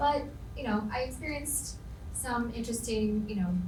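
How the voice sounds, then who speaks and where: A woman with an American accent, plus audible room echo and noticeable background noise. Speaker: business panelist. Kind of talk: panel discussion. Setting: lecture hall with audience.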